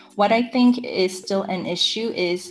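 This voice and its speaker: A woman speaks in a plain, everyday voice at a fairly slow pace with ordinary pitch variation. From Saudi Arabia, international school; Korean family, moved to US in high school. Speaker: environmental education adviser. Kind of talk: interview.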